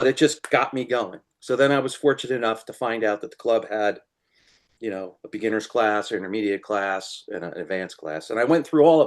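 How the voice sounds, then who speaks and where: A man with a New Jersey accent talks fairly quickly at a medium pitch, with ordinary pitch variation and big swings in loudness. The background is quiet. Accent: New Jersey American. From US Northeast, New Jersey. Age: 60s. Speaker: fly-tying materials supplier. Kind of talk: interview.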